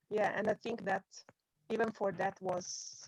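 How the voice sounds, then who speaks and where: Heard with a dry, close sound and no echo, a woman with an Italian accent speaks at a fairly slow pace. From Italy. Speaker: music journalist. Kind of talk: interview. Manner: halting. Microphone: laggy connection.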